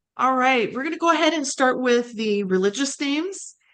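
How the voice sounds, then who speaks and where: This woman has a plain, everyday voice with an American accent. She talks at a moderate pace with ordinary pitch variation. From United States. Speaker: travel and genealogy channel host. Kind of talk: video presentation and interview. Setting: video call.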